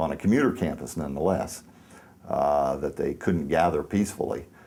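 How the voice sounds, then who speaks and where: A man's very deep, low voice has a dark, mellow tone, vocal fry and ordinary pitch variation. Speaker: shooting survivor. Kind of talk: interview answer. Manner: hesitant, reflective.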